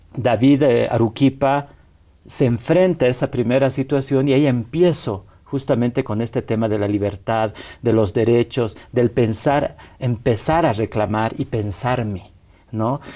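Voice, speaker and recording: A man with a dark, mellow tone speaks fairly slowly at medium pitch, his pitch varying in an ordinary way. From Bolivia. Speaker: activist. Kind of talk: interview.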